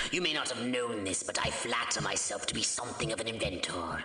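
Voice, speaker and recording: A cartoonish character voice at a fairly quick pace, with slight echo and clear background noise. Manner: condescending, sardonic.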